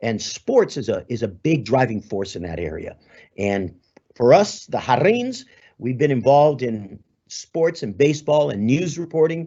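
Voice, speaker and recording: A man with an American accent speaks at a moderate pace. His pitch swings very widely. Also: medium pitch for a man. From Los Angeles, Southern California. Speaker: sports broadcaster. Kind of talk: guest talk.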